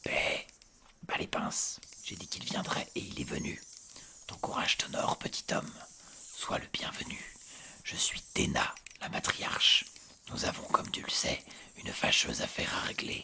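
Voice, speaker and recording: A man's put-on character voice, whispering, guttural and hissing, at a moderate pace. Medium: read story. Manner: formal, measured.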